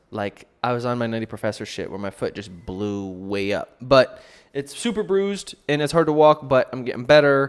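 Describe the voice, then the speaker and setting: This man talks at a moderate pace in a medium pitch, his intonation lively. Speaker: podcast host and musician. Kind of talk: casual podcast monologue. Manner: loud.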